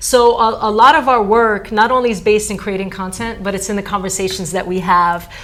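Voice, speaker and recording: Over noticeable background noise and audible room echo, a woman with an American accent speaks at a moderate pace and medium pitch with fairly even intonation. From New Jersey. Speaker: theater teaching artist. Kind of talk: TV interview.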